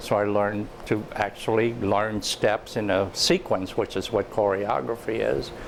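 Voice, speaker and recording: Against noticeable background noise, a man talks in a fairly low voice with fairly even intonation. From Cuba, then Miami, Florida from age ten. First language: Spanish. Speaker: theater artist. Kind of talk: interview. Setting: on camera interview.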